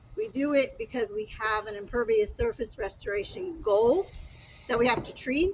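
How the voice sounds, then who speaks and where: A quiet, high-pitched woman's voice with lively intonation and big swings in loudness, over noticeable background noise. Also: moderate pace. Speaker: county stormwater restoration official. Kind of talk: outdoor field trip explanation.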